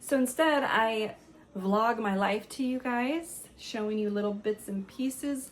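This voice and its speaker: A woman speaks at a fairly slow pace in a fairly high pitch with ordinary pitch variation. Noticeable background noise runs underneath. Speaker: spiritual lifestyle vlogger. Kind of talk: casual vlog talk. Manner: animated.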